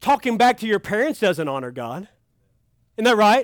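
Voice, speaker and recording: A man with a Kentucky accent speaks in a high voice with an animated tone and very wide pitch swings. The recording is very clean, with a silent background. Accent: Kentucky Southern US. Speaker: pastor. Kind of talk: sermon. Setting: youth camp with audience.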